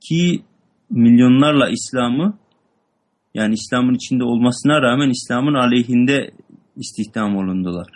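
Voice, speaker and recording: A man with a medium-pitched voice speaks at a moderate pace with ordinary pitch variation, in an ordinary speaking voice. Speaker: student reading text aloud. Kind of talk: reading aloud and explaining a text.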